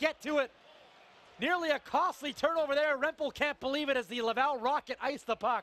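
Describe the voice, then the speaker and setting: Raising and projecting his extremely high, bright, sharp voice, a man talks at a fairly quick pace in an animated tone, the sound dry and close with no echo. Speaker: play-by-play announcer. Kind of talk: live sports commentary, play-by-play of a hockey game. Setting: arena broadcast, highlight package. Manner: animated, excitable, rapid-fire calls that swell on goals; conversational and upbeat, with quips.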